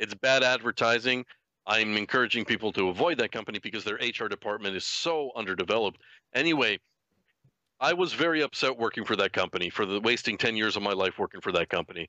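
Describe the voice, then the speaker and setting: At a very fast pace, a man talks with lively intonation and a medium pitch. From New Westminster, Canada. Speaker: podcast host, livestreamer. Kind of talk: casual chat. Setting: livestream with live chat.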